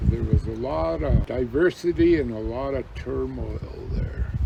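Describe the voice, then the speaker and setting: Over noticeable background noise, a man speaks at a very slow pace. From Standing Rock, North Dakota and California. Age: 60s. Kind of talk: oral history interview.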